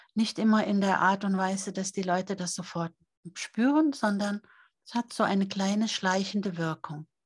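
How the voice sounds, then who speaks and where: This woman has a medium pitch, ordinary pitch variation and a somewhat breathy sound, speaking at a moderate pace with big swings in loudness. The recording is dry and close with no echo, over a quiet background. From Norway. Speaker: author and seminar leader. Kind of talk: interview.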